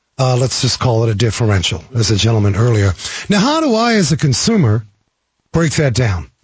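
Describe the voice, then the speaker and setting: This man's voice sits at a medium pitch. It is somewhat breathy. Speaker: auto repair shop owner. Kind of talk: radio guest interview. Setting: radio studio.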